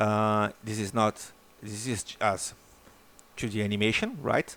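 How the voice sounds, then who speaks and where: A very slow pace and monotone, flat intonation. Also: man. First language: not English. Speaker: software developer demonstrating his animation tool. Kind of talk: screen-recorded software tutorial. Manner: halting, many repetitions and fillers.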